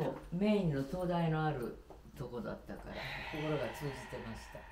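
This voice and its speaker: A woman's very deep, low pitch with ordinary pitch variation, at a moderate pace amid noticeable background noise. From Japan. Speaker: designer. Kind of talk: casual conversation during home tour. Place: home room. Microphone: camera far.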